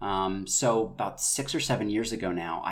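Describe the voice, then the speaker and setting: A man with a plain, everyday voice speaks at a fairly low pitch with ordinary pitch variation. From North Carolina. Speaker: actor, writer and director. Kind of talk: casual interview.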